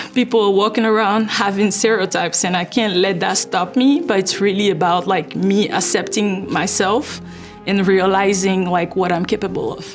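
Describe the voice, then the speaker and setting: With music playing in the background, a woman with a non-native accent talks at a moderate pace, her pitch medium and its variation ordinary. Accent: noticeable foreign. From Ivory Coast. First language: French. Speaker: fundraising manager. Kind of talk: interview answer.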